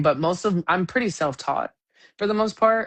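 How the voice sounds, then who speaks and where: The speaker is a woman with an American accent. Her intonation is lively. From Sacramento, California. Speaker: singer-songwriter. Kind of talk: casual chat. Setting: live stream. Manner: animated.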